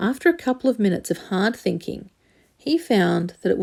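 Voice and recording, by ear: Lively intonation in natural-voiced reading aloud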